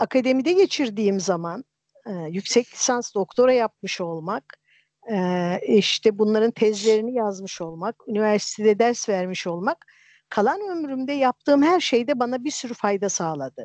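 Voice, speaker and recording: A woman's fairly high voice at a moderate pace, with lively intonation, a dry, close sound with no echo, and a quiet background. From Turkey, Erzincan. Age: 50s. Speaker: storyteller and translator, retired geologist. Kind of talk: casual chat. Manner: hesitant with many fillers.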